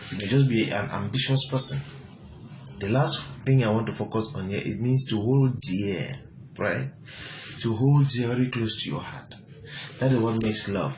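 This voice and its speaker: Speech comes at a moderate pace with long, frequent pauses. Noticeable background noise and audible room echo fill the recording. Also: man, medium pitch for a man, ordinary pitch variation. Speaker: motivational speaker. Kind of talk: motivational talk.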